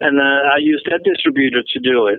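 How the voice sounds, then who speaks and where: With a Dutch accent, a man speaks at a medium pitch. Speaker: metal magazine founder and festival organizer. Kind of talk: interview.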